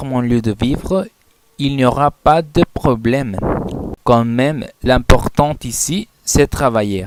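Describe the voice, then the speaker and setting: This man speaks at a very slow pace. His pitch sits in the medium range. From Mexico (Colima). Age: 20s. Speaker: language student. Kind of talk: class presentation, self-introduction.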